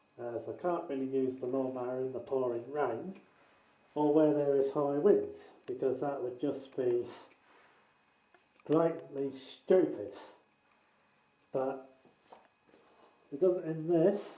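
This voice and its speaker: Amid audible room echo, a man with a fairly high pitch and dark, mellow tone speaks fairly slowly, leaving long, frequent pauses. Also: ordinary pitch variation. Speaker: tenant making a complaint video. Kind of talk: walkthrough video narration. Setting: indoors, in a rented house.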